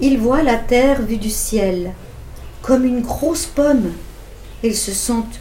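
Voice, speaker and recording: A woman with a high pitch and ordinary pitch variation speaks at a very slow pace with long, frequent pauses, with audible room echo and noticeable background noise. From Switzerland, Vevey. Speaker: co-reader of a children's story. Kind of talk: reading aloud.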